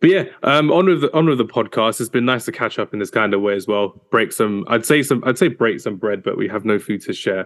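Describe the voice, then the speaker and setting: A man at medium pitch, very fast pace, lively intonation, quiet background. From North London. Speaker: football podcast host. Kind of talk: casual chat.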